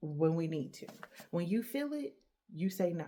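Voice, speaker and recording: Her voice dark, mellow and somewhat breathy, a woman talks at a fairly slow pace with lively intonation. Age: 30s. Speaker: podcast host. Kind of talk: solo motivational talk.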